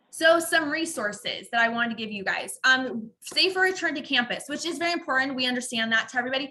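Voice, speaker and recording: Raised and projected, a woman's high-pitched voice runs at a very fast pace with hardly any pauses. Her tone is bright and sharp, and her intonation is lively. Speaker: university staff presenter. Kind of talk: online orientation presentation. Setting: video call.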